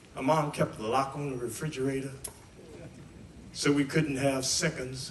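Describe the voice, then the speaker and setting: A man with an American accent speaks over noticeable background noise, with audible echo from the room. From West Virginia, US. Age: 80s+. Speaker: singer and guitarist. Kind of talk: storytelling testimony to a live audience.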